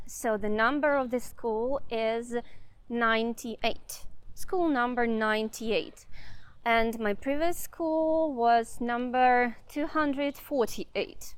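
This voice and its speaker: A woman with a Russian accent speaks very slowly at a high pitch on a very clean recording with a silent background. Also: ordinary pitch variation. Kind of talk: casual walking vlog talk to camera. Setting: outdoors. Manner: unscripted, hesitant.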